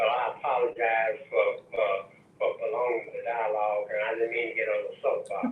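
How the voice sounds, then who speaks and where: Noticeable background noise runs under the recording. The man speaking keeps a moderate tempo. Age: 80s+. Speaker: caller. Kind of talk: call-in comment.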